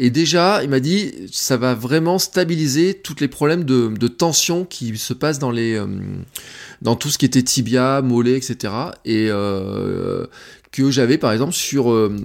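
In a southern French accent, a man speaks very slowly at a medium pitch with lively intonation, on a very clean recording with a silent background. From Auvergne, France. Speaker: barefoot runner. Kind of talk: casual chat.

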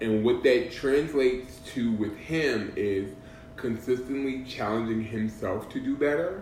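Amid music in the background and audible room echo, a man with a medium pitch speaks at a fairly slow pace with ordinary pitch variation. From Boston. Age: 40s. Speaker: podcast host. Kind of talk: casual chat. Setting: at a friend's house.

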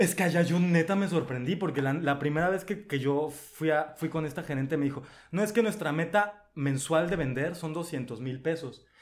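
Hardly pausing, a man speaks in a fairly high voice with ordinary pitch variation over noticeable background noise. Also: moderate pace. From Mexico, Veracruz coast. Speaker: podcast guest. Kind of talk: casual chat.

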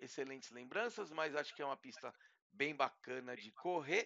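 Using a plain, everyday voice, the man speaks with ordinary pitch variation at a moderate pace. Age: 40s. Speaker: tech influencer, podcast co-host. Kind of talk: casual chat.

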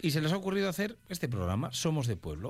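Speaking at a fast pace, a man with a fairly high pitch makes big pitch swings.

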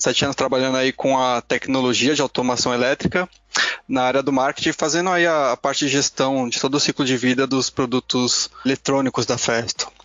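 A man with a normal speaking voice talks at medium pitch and a moderate pace, keeping his intonation fairly even. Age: 20s. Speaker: product manager. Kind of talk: casual chat.

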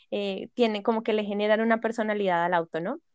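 A woman speaks with a fairly high pitch and ordinary pitch variation. She has a plain, everyday voice. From Colombia, Bogotá. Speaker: podcast guest, book lover. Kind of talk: casual chat.

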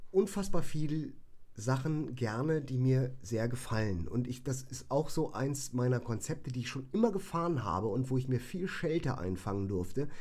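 A man of medium pitch speaks at a moderate pace in a dark, mellow tone. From northern Germany, Bremen. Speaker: musician and hairdresser. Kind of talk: casual chat. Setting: home studio.

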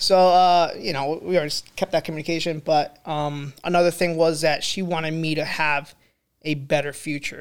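At a moderate pace, a man speaks in a fairly high, monotone voice with flat intonation on a very clean recording with a silent background. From immigrated to US in eighth grade. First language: not English. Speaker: podcast guest. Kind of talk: casual chat.

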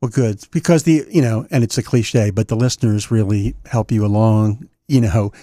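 A man with an American accent and a dark, mellow tone speaks at a medium pitch and moderate pace, with ordinary pitch variation and hardly any pauses, in a very clean recording whose dry, close sound has no echo and a silent background. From US Mid-Atlantic. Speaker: podcast host interviewing DJs. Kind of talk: interview conversation.

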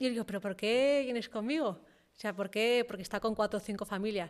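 At a fairly quick pace, a woman speaks in an unremarkable speaking voice with a fairly high pitch and ordinary pitch variation. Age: 30s. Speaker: entrepreneur. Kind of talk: casual interview. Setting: studio in a garage.

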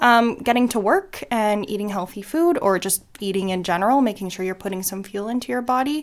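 With a normal speaking voice, a woman talks at a fairly quick pace, her fairly high pitch showing ordinary variation. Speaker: guest, works with people learning life skills. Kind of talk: casual interview. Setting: shared mic recording.

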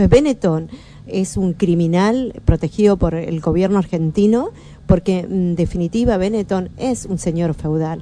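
Woman's fairly low-pitched voice, fairly slow in pace, with ordinary pitch variation over noticeable background noise. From Argentina, Patagonia (Bahía Blanca). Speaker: Mapuche activist and author. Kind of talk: radio interview. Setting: radio studio.

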